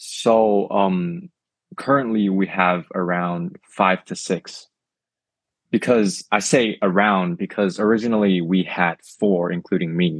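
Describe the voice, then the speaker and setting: A man speaks at a fairly low pitch and a very slow pace. His intonation is fairly even, and the sound is dry and close with no echo. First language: not English. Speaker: toy brand owner. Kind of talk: casual interview.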